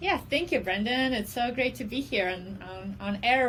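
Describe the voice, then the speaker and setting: A woman in a Russian accent, at a fairly slow pace with lively intonation. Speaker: special education professor and counseling psychologist. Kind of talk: casual interview.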